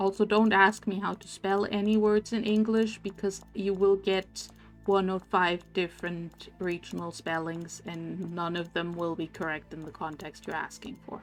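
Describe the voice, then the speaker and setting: With music in the background, a woman speaks at a moderate pace and medium pitch, with hardly any pauses, fairly even intonation and big swings in loudness. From Germany. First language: German. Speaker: video game streamer. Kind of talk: casual live stream chat. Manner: low energy.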